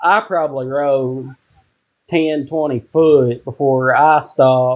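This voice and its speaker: In a Kentucky accent, a man speaks with a fairly high pitch. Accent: Kentucky Southern US. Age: 30s. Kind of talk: casual chat.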